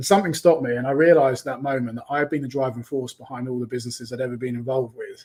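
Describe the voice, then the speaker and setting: A man with a London accent at a very fast pace, fairly even in intonation, on a very clean recording with a silent background. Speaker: online business coach. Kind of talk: interview.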